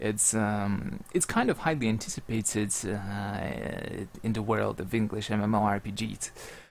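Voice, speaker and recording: This man has a fairly low pitch and a non-native accent. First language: not English. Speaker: game streamer and esports commentator. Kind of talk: live stream chat. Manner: halting, many fillers and repetitions.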